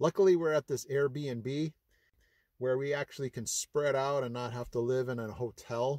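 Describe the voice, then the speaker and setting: A man speaks at a moderate pace with fairly even intonation. The sound is dry with no echo, over a quiet background. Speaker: vlogger relocating. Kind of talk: casual vlog chat. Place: car. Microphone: phone near.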